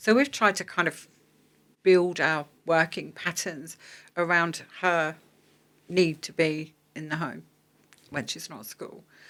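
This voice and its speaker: A woman's fairly low-pitched voice with vocal fry, big swings in loudness, a fairly slow pace and long, frequent pauses, in a very clean recording with a silent background. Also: ordinary pitch variation. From London. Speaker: energy efficiency business owner. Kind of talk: podcast interview. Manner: chatty.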